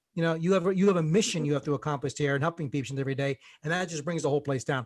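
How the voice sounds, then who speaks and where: Someone with an American accent speaks very fast in a somewhat breathy voice, with ordinary pitch variation. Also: man. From New Jersey, US. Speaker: dental practice coach. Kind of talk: podcast interview. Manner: animated.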